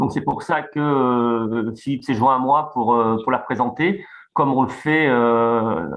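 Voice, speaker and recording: Pitch varies in an ordinary way. The delivery is very slow. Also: man, medium pitch for a man. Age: 50s. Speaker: dentist. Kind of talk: webinar presentation.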